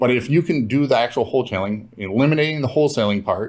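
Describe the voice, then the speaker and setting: This man talks at a very fast pace in a Minnesotan accent. His pitch sits in the medium range. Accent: Minnesota. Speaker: real estate investor. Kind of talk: interview.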